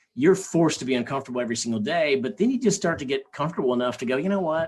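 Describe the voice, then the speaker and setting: Lively in intonation, the speaker talks at a very fast pace with a slight Southern US accent. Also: man, fairly high pitch for a man. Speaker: sales trainer. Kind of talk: podcast interview. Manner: halting.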